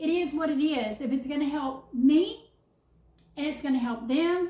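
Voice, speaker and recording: This woman's voice has a dark, mellow tone and sits high in pitch. She talks at a fairly slow pace with ordinary pitch variation. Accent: Southern US. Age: 50s. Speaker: vlogger. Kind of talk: casual vlog. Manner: halting.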